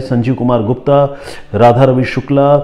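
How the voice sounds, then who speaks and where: This man speaks in a Bengali accent. His tone is dark and mellow, and his intonation is monotone and flat. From Bengali background, India. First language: Bengali (speaking Hindi). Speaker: crime journalist and storyteller host. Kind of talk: crime story narration with viewer comment reading. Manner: conversational, with fillers and self-corrections.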